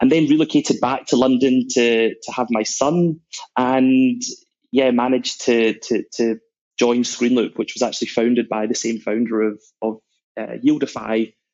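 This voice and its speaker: The intonation stays fairly even. It comes with a Scottish accent. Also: man. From Scotland, Glasgow. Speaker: sales executive. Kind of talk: podcast interview.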